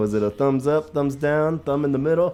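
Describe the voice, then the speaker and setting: Moderately paced speech from a man with an American accent over background music. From United States. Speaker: podcast host. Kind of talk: casual chat.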